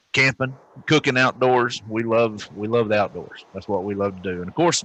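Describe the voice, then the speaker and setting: A man talks at a moderate pace and a fairly low pitch. His intonation stays fairly even. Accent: Southern US. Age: 40s. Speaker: podcast co-host, military veteran. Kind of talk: casual chat.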